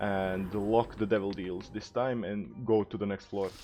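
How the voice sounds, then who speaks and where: A man with a non-native accent, at a fairly slow pace. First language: not English. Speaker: gaming YouTuber. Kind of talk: gameplay commentary. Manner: casual, frequent filler uhs.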